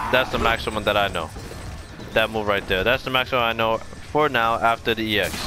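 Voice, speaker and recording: Music plays behind a man talking at a very fast pace with long, frequent pauses. His pitch is medium and his intonation fairly even. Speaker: gaming video creator. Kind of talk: gameplay tutorial commentary.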